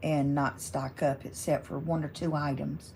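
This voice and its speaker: Speaking slowly in a Southern US accent, a woman uses a very deep, low voice that is dark and mellow, with vocal fry, a relaxed tone and lively intonation. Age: 70s. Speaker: crafting YouTuber. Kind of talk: casual chat.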